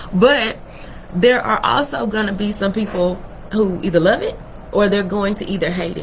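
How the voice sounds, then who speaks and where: Fairly quick speech in a Texas accent, with ordinary pitch variation and noticeable background noise. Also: woman. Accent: Southern US, Texas. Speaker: online business coach on a livestream. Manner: casual, conversational.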